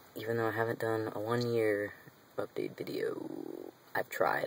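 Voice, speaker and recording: The speech comes at a moderate pace over noticeable background noise. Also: man. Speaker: singer. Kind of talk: casual talk to camera.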